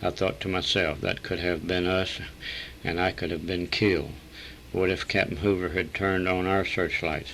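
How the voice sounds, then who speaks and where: With a Texas accent, a man speaks at a moderate pace in a very deep, low pitch and a monotone, flat intonation. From Texas, San Antonio. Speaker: war veteran. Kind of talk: reading aloud.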